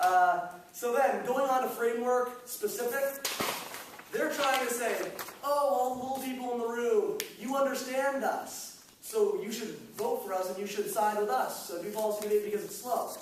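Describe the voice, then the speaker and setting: A man speaks at a moderate pace with an extremely high pitch and lively intonation. Noticeable background noise and audible room echo fill the recording. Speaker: debate student. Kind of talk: competitive debate rebuttal speech.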